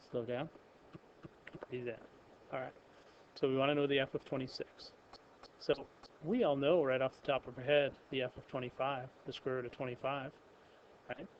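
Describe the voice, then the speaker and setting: A man of medium pitch speaks in a monotone, flat intonation with long, frequent pauses. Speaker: math teacher. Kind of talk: lecture. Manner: fast.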